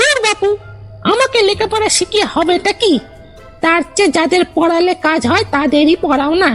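A put-on character voice growls at a moderate pace. Clear music plays in the background. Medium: audio drama. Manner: rude, blustering, informal.

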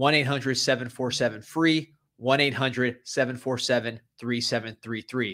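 Over a quiet background, a man speaks in a bright, sharp tone with fairly even intonation. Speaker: podcast host. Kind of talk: ad read. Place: studio. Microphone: studio mic.

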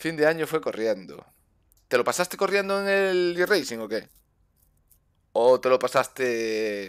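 Against a quiet background, a man speaks fairly slowly with long, frequent pauses and very wide pitch swings. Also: fairly high pitch for a man. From Spain. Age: 30s. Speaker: gaming streamer. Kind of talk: casual chat. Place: home room. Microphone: headset.

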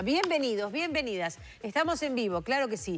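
A woman with lively intonation. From Uruguay. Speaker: TV host. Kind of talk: casual chat. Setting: studio. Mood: warm, smiling. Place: studio.

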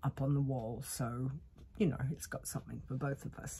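This woman speaks with an Australian accent and a very deep, low pitch. Her tone is dark and mellow, and somewhat breathy. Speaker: vlogger. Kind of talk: casual chat. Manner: casual, hesitant with fillers. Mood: cheerful, relaxed. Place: home room. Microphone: earbuds.

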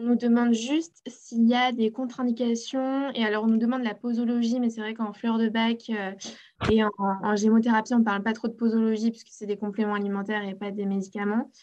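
A woman's fairly high, monotone, flat voice at a fairly quick pace over a quiet background. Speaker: community manager and webinar host; webinar host. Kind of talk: webinar hosting. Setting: video call. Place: home room. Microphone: webcam.

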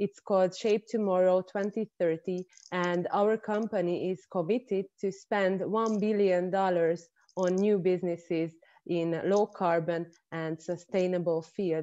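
A woman speaks at a very slow pace with a Hungarian accent. Her intonation is monotone and flat. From Hungary. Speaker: industry-university relations expert. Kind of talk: online panel discussion. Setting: video call. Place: home room. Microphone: earbuds.

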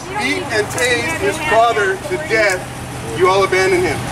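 A man talks over loud background noise. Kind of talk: angry confrontational rant. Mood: angry, contemptuous. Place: street. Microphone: phone near.

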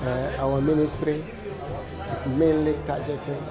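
A man talks at a fairly slow speed while loud music plays behind him. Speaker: interviewee. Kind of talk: interview answer. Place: hall.

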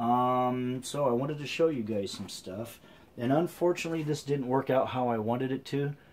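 His pitch moves in an ordinary way. The man talks at a moderate pace. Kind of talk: casual product review. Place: garage. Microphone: camera far.

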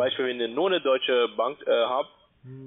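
A man talking at a very fast pace, with fairly even intonation. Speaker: scam call-centre agent. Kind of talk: sales pitch. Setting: phone call. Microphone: phone line.

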